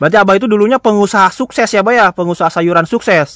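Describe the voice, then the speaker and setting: A man talks very fast in a high pitch with ordinary pitch variation. The sound is dry and close with no echo, on a very clean recording with a silent background. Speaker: vlogger interviewer. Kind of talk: casual interview. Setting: outdoors in a forest. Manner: loud.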